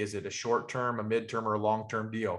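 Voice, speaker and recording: A man speaks at a fairly quick pace with an American accent. His pitch sits in the medium range. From Western North Carolina. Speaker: real estate investor and trainer. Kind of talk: webinar training talk. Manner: fast.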